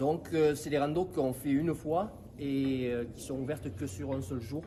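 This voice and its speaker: Audible room echo surrounds a man speaking at a fairly slow pace in a fairly high voice with ordinary pitch variation. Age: 60s. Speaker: farmer and riding association president. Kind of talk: interview. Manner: hesitant, many fillers.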